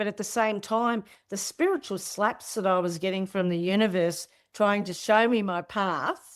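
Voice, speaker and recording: A woman with an Australian accent speaks at a moderate pace in a very clean recording with a silent background. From Australia, Tasmania. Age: 60s. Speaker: spiritual teacher. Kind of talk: interview conversation. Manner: casual, halting with repetitions.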